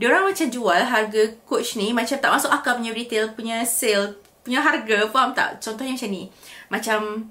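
The pace is moderate. A woman talks with ordinary pitch variation. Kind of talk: casual vlog chat. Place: home room.

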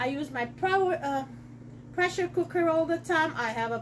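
With light background noise behind her, a woman speaks at a moderate pace in a high pitch. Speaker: cookware seller. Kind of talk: cooking demo tutorial. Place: kitchen. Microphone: camera far.

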